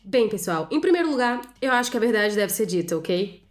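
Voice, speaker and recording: Fairly quick speech from a woman, pitched fairly high. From Rio de Janeiro, Brazil. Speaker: podcaster. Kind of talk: comedic storytelling monologue. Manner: animated.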